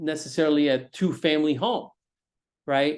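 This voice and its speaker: Pitched fairly high, a man talks at a fairly quick pace. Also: quiet background. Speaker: real estate agent and investor educator. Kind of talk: webinar presentation. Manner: fast.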